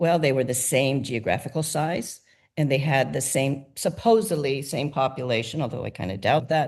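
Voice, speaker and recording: A woman with lively intonation, set against a quiet background. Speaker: nonprofit founder. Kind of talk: interview. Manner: fast.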